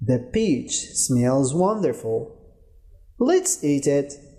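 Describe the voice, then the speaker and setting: A man puts on a character voice, pitched fairly high and delivered at a very slow pace. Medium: read story.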